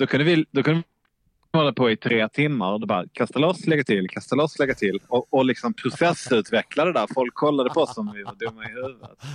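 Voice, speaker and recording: Speaking at a fairly quick pace and a medium pitch, a man uses lively intonation, with a dry, close sound and no echo. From southern Sweden, Malmö. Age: 40s. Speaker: sailor. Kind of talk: casual chat.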